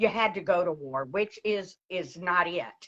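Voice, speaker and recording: Lively intonation marks a woman's speech at a moderate pace. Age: 60s. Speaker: military retiree sharing health testimony. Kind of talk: testimony. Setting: online live video stream.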